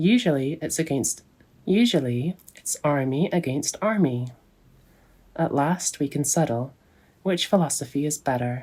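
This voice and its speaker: A woman speaks fairly slowly in a very deep, low pitch with a dark, mellow tone. Her intonation is lively, broken by long, frequent pauses. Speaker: ASMR content creator. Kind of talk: story narration with dialogue. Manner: relaxing, sleepy, soft.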